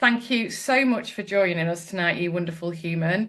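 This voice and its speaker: At a moderate pace, a woman talks in an unremarkable speaking voice, her pitch varying in an ordinary way. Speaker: podcast host. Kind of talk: host introduction to live online session. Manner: upbeat, playful.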